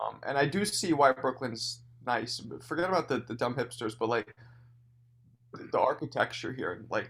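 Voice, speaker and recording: In a New York accent, a man at a medium pitch speaks with long, frequent pauses. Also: ordinary pitch variation, moderate pace. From New York City, Hell's Kitchen. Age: 40s. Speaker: comedian and club owner. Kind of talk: casual chat.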